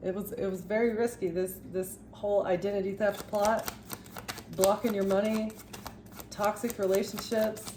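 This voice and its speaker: Fairly even intonation from a woman at a medium pitch, with noticeable background noise. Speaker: tarot reader. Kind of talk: tarot reading monologue. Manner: stuttering, halting; fast.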